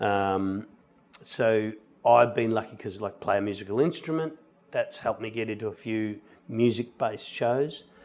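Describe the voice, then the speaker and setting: At a moderate pace, a man with an Australian accent speaks with ordinary pitch variation. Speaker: musical theatre actor. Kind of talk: interview.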